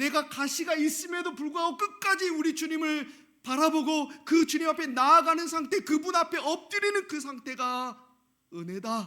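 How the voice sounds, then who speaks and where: A man's raised, projected voice with a bright, sharp tone, ordinary pitch variation and a moderate pace. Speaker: pastor. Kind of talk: sermon. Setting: church.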